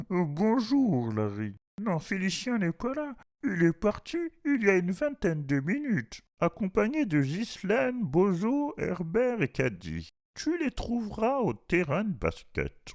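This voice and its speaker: In a put-on character voice, a man speaks at a fairly slow pace with a high pitch and very wide pitch swings. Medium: read story. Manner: hesitant.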